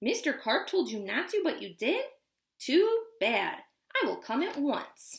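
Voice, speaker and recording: At a fairly slow pace, a woman uses a put-on character voice with a high pitch and very wide pitch swings. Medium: read story.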